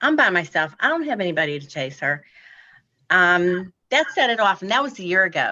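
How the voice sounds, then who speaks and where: Against a quiet background, a woman speaks fairly quickly in a bright, sharp tone, her medium pitch swinging very widely. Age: 60s. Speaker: applicant at zoning hearing. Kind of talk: public hearing testimony.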